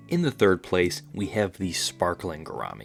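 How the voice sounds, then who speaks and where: A man's fairly low-pitched voice at a moderate pace, with music in the background. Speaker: aquarium hobbyist YouTuber. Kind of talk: casual educational talk to camera.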